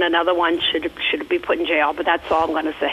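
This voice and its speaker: Noticeable background noise fills the clip. A woman is the one talking. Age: 60s. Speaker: radio caller. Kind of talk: call-in question. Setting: phone call. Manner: halting.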